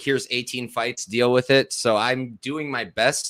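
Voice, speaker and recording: A man's fairly even intonation in a very clean recording with a silent background. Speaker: MMA analyst and podcaster. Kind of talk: casual chat. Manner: fast.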